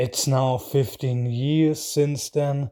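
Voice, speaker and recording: Delivered at a fairly slow pace with a non-native accent, the dark, mellow voice comes through on a very clean recording against a silent background. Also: man. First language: not English. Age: adult, out of school. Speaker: YouTube reaction host. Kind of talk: casual video commentary. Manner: hesitant, with fillers.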